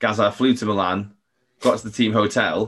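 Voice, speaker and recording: The recording is very clean with a silent background, as a man with an ordinary speaking voice keeps a fairly low pitch and fairly even intonation. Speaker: podcast host. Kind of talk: casual chat.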